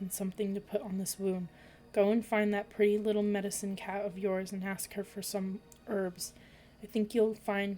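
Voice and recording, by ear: The passage is read aloud in a natural voice.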